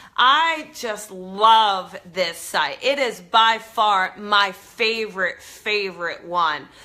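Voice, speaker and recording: With a New Jersey accent, a woman speaks at a very slow pace with hardly any pauses. Her medium-pitched voice has a bright, sharp tone. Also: ordinary pitch variation. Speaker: psychic medium, show host. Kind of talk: live stream chat with viewers. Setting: live video stream. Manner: casual, enthusiastic.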